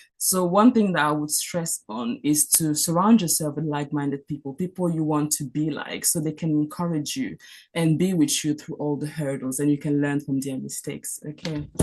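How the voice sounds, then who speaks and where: Against a quiet background, a woman with a French accent and a very deep, low pitch speaks at a moderate pace with ordinary pitch variation and hardly any pauses. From Cameroon. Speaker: doctor. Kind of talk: mentorship talk.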